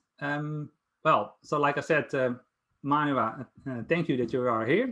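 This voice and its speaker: Over a quiet background, a man talks at a fairly slow pace. He has a fairly high pitch and a Dutch accent. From Netherlands. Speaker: Power BI consultant presenting a project. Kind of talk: project presentation. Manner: halting, many fillers.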